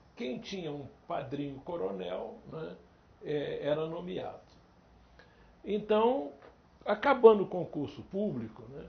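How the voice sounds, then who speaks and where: In a room with audible echo, a man speaks very slowly, with long, frequent pauses and big swings in loudness. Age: 70s. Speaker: Portuguese teacher. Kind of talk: interview.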